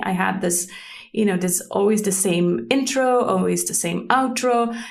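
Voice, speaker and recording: A woman speaks with a Swiss German accent and ordinary pitch variation. Audible room echo surrounds her voice. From German-speaking Switzerland. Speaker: podcast host. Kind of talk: unscripted solo podcast talk. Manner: hesitant, with many fillers.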